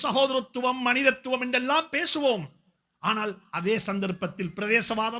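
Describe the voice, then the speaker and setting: Raised and projected, a man's voice sits at an extremely high pitch with a bright, sharp tone and ordinary pitch variation, on a very clean recording with a silent background. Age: 50s. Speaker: Islamic scholar and preacher. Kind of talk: speech at a community event. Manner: emphatic, repetitive oratory.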